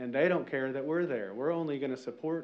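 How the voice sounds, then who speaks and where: A man speaks in a Southern US accent. His pitch varies in an ordinary way. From Arkansas. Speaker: resident. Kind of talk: public comment. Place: hall. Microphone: podium.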